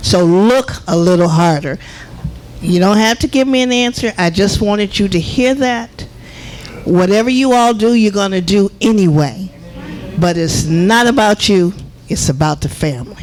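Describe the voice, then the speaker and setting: There is noticeable background noise. The speaker talks at a moderate pace. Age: 70s. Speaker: resident speaking at public comment. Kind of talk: public comment at village meeting.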